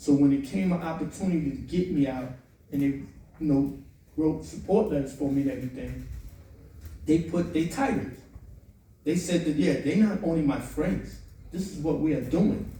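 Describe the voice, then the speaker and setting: An American-accented man's voice, fairly high in pitch, at a moderate pace with ordinary pitch variation and long, frequent pauses, in audible room echo. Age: 60s. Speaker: formerly incarcerated advocate. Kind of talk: panel discussion. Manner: impassioned.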